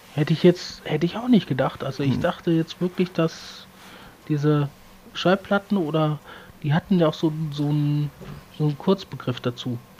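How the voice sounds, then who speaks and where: A man speaks at a moderate pace with a fairly high pitch and ordinary pitch variation. Long, frequent pauses break his speech, and background noise is noticeable. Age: 30s. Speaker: podcast co-host. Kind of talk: casual chat.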